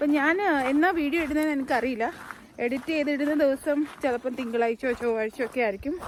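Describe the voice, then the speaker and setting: A woman speaks in a high voice at a very even volume over noticeable background noise. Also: ordinary pitch variation. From Malayali raised in north India (Delhi). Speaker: travel vlogger. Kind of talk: casual travel vlog, code-switching Malayalam, English, Hindi. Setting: outdoors hiking in the mountains.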